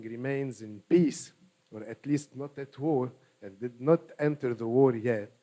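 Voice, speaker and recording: In a dark, mellow tone, a man with an Arabic accent speaks at a fairly slow pace. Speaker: political party official. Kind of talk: panel discussion. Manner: hesitant, many fillers.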